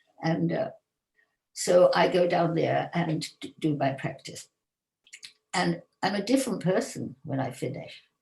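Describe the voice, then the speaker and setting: Lively intonation and vocal fry mark this woman's fairly slow speech. She leaves long, frequent pauses. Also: fairly low pitch for a woman. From England. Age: 80s+. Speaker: yoga teacher. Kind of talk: interview.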